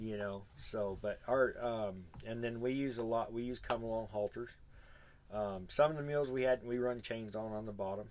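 A man with an American accent speaks in a plain, everyday voice at medium pitch, with fairly even intonation and a moderate pace. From Arizona. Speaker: mule packer and clinic instructor. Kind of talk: casual chat. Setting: on location at a mule event.

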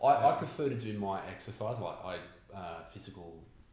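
A somewhat breathy man's voice at a moderate pace, with ordinary pitch variation. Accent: Australian. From Australia, Newcastle NSW. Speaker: meditation teacher. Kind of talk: casual chat.

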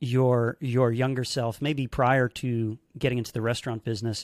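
With an American accent and an ordinary speaking voice, a man of medium pitch talks at a moderate pace on a very clean recording with a silent background and a dry, close sound with no echo. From United States. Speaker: podcast host and magician. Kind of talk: interview.

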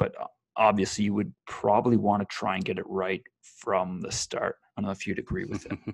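Using an ordinary speaking voice, a man with a fairly low pitch talks at a moderate pace with fairly even intonation in a dry, close sound with no echo. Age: 20s. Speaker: online entrepreneur. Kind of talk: casual chat. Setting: call recording.

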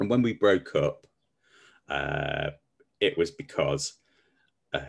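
A man speaks at a very slow pace with a slight West Midlands accent. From Stafford, West Midlands England. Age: 40s. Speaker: coach. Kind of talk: casual chat, personal storytelling.

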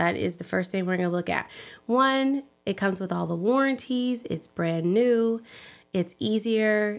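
On a very clean recording with a silent background, a woman speaks at a fairly slow pace in a medium pitch with ordinary pitch variation. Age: young. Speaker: realtor and pageant winner. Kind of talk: casual chat. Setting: studio.

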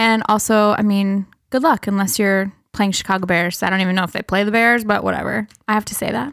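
A woman's medium-pitched voice in a Minnesota accent, fairly quick and fairly even in intonation, with a dry, close sound with no echo and a very clean recording with a silent background. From Minnesota (Breckenridge). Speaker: podcast host, sociology instructor. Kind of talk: casual chat.

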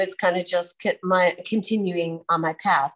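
A woman talks at a fairly slow pace in a medium pitch. She has an unremarkable speaking voice, and the background is quiet. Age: 50s. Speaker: podcast host and holistic nurse. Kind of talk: casual chat.

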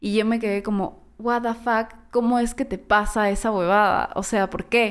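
At a fairly slow pace with hardly any pauses, a woman speaks in a monotone, flat intonation at a fairly high pitch. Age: 30s. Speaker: audiovisual communicator and former lecturer. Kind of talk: casual chat.

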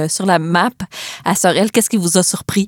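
A woman's medium-pitched voice shows ordinary pitch variation and moves at a moderate pace. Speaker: podcast host. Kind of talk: casual interview.

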